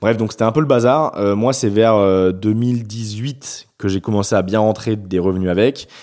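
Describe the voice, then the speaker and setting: A man's fairly low voice, fairly slow in pace, with very even loudness and ordinary pitch variation. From France, Bordeaux. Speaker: YouTuber. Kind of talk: interview. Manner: hesitant, many fillers.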